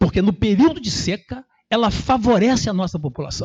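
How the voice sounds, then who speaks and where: A man is speaking at a moderate pace. His voice is high in pitch. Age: 60s. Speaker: resident speaking at public hearing. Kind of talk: public hearing speech. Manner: animated.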